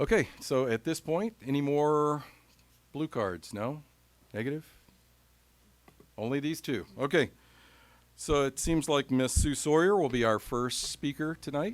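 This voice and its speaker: A man with an American accent, fairly high pitch, lively intonation, a fairly slow pace and long, frequent pauses. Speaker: school board president chairing meeting. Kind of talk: chairing formal meeting. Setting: school board meeting room.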